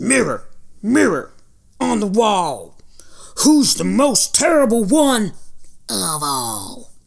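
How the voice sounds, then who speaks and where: A put-on character voice with a fairly high pitch. It moves at a very slow pace, broken by long, frequent pauses. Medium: read story. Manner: boastful, blustering.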